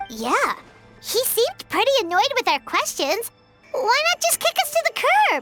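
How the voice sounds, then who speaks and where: A put-on character voice at an extremely high pitch, with very wide pitch swings, a moderate pace and faint music in the background. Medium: video game. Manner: cheeky.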